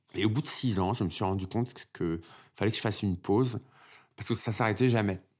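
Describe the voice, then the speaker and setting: In a very clean recording with a silent background, a man with a fairly low pitch and ordinary pitch variation talks at a very fast pace broken by long, frequent pauses. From Paris suburbs and Oise, France, Algerian family. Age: 50s. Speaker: dancer. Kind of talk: personal testimony.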